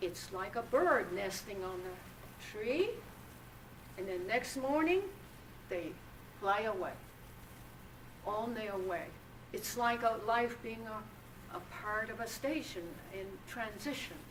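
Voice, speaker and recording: A woman speaks very slowly at a fairly high pitch, leaving long, frequent pauses. Her pitch varies in an ordinary way, and there is audible room echo. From Japan. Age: 80s+. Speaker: author and atomic bomb survivor. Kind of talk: lecture. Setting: university lecture hall with audience. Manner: halting.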